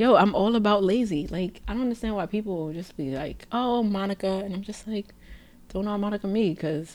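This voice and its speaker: A woman speaks with a New York accent at medium pitch. Her pace is fairly quick, with ordinary pitch variation. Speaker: podcast host. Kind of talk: casual chat. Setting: studio.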